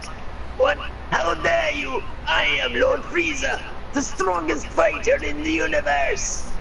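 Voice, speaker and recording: Over loud background noise, a man uses a raspy, put-on character voice. He goes at a fairly slow pace. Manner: evil, losing his temper.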